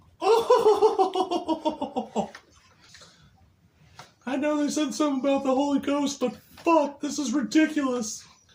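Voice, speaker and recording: A cartoonish character voice speaks at a high pitch. Its pace is fairly slow. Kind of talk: crude comedy puppet bit. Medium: puppet.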